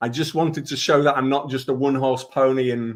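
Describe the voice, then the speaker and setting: A man in a Leeds accent, medium in pitch, with fairly even intonation. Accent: northern English (Leeds). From northern England, Leeds. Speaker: digital marketing consultant. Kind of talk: webinar presentation.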